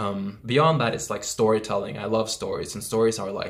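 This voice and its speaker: This man speaks with a non-native accent. His pace is moderate. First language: not English. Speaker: self-development YouTuber. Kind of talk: casual vlog monologue. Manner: casual with many fillers.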